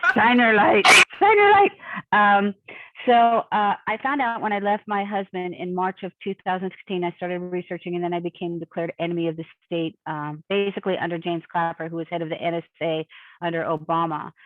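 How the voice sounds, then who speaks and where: A woman talks at a fairly quick pace in a plain, everyday voice. Her pitch sits in the medium range with ordinary variation. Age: 60s. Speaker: abuse survivor. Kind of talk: interview.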